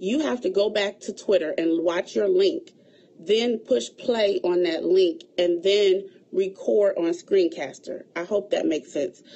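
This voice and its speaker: At a fairly slow pace, a woman speaks in an unremarkable speaking voice, medium in pitch with lively intonation. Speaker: event planner. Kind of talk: livestream tutorial.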